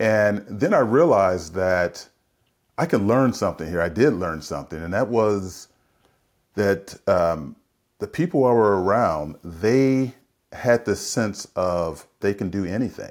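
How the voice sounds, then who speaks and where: With an American accent, a man talks in a normal speaking voice at a fairly low pitch and a fairly slow pace, on a very clean recording with a silent background. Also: lively intonation. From US West Coast, San Francisco. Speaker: leadership consultant and executive coach. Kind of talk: interview conversation.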